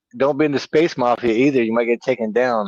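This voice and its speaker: A man has a normal speaking voice at a medium pitch with ordinary pitch variation, recorded in a dry, close sound with no echo. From Virginia, US. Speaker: stock investing livestream co-host. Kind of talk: casual livestream chat.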